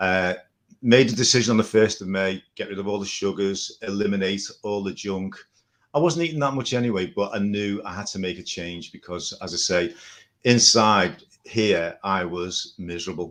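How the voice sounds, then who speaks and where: With an English accent, a man speaks at a moderate pace in a fairly low voice with ordinary pitch variation, over a quiet background. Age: 60s. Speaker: carnivore diet follower. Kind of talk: testimony.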